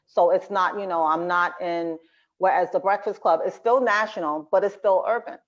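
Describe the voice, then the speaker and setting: Against a quiet background, a woman talks at a moderate pace and medium pitch. Her intonation stays fairly even. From New Jersey, born in Brooklyn. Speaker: nurse and TV health commentator. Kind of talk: interview.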